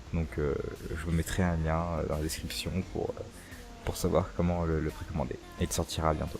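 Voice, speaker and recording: Over music in the background, a man with a very deep, low voice speaks with long, frequent pauses. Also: ordinary pitch variation, moderate pace. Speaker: youtuber. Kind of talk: casual Q&A chat.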